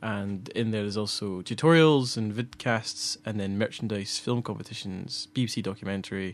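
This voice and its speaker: A man with a Scottish accent, fairly low in pitch, with ordinary pitch variation and hardly any pauses, on a very clean recording with a silent background. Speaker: podcast co-host, filmmaker. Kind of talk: casual chat. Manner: fast.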